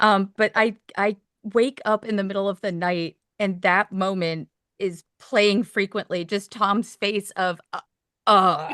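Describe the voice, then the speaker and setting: A woman's medium-pitched voice in an American accent, fairly slow and bright, sharp in tone, with a dry, close sound and no echo. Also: fairly even intonation. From Maine, US. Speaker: dog trainer. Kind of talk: casual chat.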